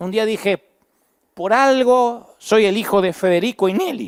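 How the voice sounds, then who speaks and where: The speaker talks at a fairly slow pace with an Argentine accent. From Argentina, Buenos Aires province. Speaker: pastor. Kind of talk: sermon.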